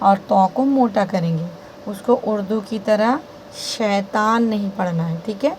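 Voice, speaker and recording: Noticeable background noise runs behind the recording. A woman speaks with ordinary pitch variation. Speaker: Quran recitation teacher. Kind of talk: tutorial.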